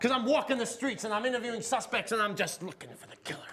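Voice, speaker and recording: Putting on a gruff character voice at an extremely high pitch, a man rattles along very fast with fairly even intonation and big swings in loudness. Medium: stage play. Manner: gruff, overreacting.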